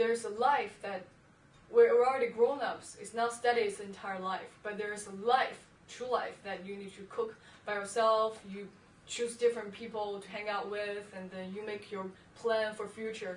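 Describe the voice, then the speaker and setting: A woman's fairly high voice with a Chinese accent, monotone and flat in intonation, at a moderate pace with big swings in loudness. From China. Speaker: university student. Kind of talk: interview answer.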